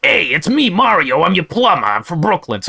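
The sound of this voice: Putting on a raspy character voice, a man speaks high-pitched at a fairly quick pace.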